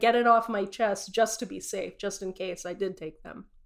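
A woman with an American accent speaks at a fairly high pitch and a fairly quick pace. The recording is very clean, with a silent background. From US West (Utah). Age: 30s. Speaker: storyteller sharing personal faith journey. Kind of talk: personal testimony. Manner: casual, with filler words.

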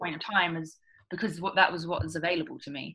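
Very fast and bright, with a sharp tone, a woman talks at a medium pitch with ordinary pitch variation. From England. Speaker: former yacht chef, app entrepreneur. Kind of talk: casual interview conversation.

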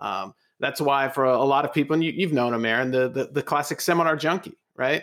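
Ordinary pitch variation marks this man's speech in a Californian accent. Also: very clean recording, silent background. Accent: California. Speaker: podcast co-host. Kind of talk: casual interview chat.

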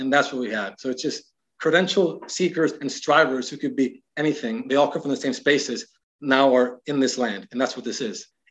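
With an American accent and a normal speaking voice, a man talks at a fairly quick pace in a fairly high pitch with ordinary pitch variation over a quiet background. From US, Miami. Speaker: writer and cultural critic. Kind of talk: casual interview.

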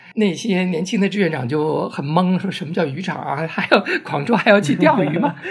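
A man speaks at a fairly quick pace with hardly any pauses, his pitch high, over noticeable background noise. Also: ordinary pitch variation. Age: 60s. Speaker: LGBT community volunteer and oral history project organizer. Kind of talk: casual interview conversation.

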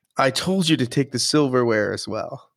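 Using an ordinary speaking voice, a man with an American accent speaks at a moderate pace with ordinary pitch variation. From United States. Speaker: podcast co-host. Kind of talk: casual chat.

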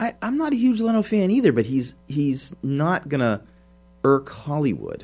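The voice is somewhat breathy and moves through very wide pitch swings. Its pace is moderate. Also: man, fairly high pitch for a man. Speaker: priest and movie podcast co-host. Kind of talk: casual chat.

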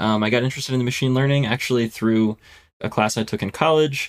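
A man with an American accent at a very fast pace, fairly even intonation, in a very clean recording with a silent background. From US Northeast (Philadelphia, Pennsylvania). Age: 20s. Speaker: software engineer and author. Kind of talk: technical interview.

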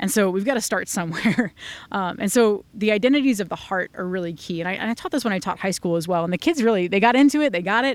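In a very clean recording with a silent background, a woman with an American accent talks very fast in an animated tone, her medium-pitched voice carrying lively intonation. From US Northeast, Rhode Island. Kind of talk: interview conversation.

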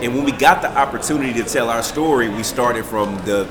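Over noticeable background noise, a man talks at a very fast pace with medium pitch and ordinary pitch variation. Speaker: paranormal investigator, TV cast member. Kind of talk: casual group interview.

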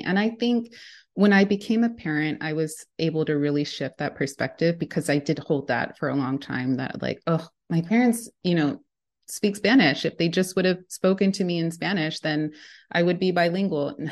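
An unremarkable speaking voice from a woman with an American accent, moderate pace and ordinary pitch variation, over a quiet background. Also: fairly low pitch for a woman. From United States, Mexican heritage. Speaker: education specialist and language advocate. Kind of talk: interview.

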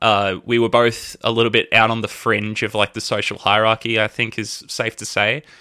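This man has a bright, sharp tone and medium pitch. He speaks at a moderate pace. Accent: Australian. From Australia, Melbourne. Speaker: band vocalist. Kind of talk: casual chat.

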